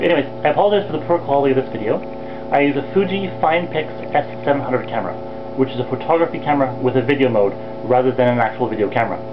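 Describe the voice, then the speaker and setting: Noticeable background noise sits under a man speaking at a very fast pace. He has a Canadian accent and ordinary pitch variation. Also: medium pitch for a man. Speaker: video blogger. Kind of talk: scripted introduction video blog. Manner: reading from a script. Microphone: poor quality photo camera video mode.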